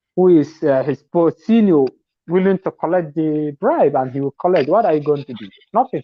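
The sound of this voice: A man talks at a moderate pace with lively intonation and a fairly high pitch, recorded with a dry, close sound and no echo.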